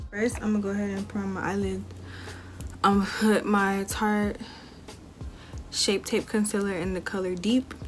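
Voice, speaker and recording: A woman talks at a moderate pace with long, frequent pauses. Music plays in the background. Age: young. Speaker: beauty YouTuber. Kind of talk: casual makeup tutorial talk to camera.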